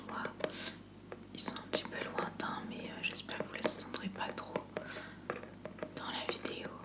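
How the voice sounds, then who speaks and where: A woman whispering against noticeable background noise. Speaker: ASMR content creator. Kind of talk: ASMR unboxing, relaxed talk to camera. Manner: soft-spoken, whispery, casual.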